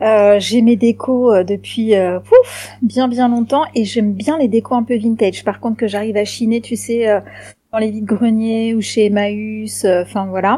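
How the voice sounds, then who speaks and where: Her tone dark and mellow, a woman speaks somewhat breathily at a fairly high pitch with fairly even intonation. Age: 40s. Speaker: podcast guest. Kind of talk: casual chat.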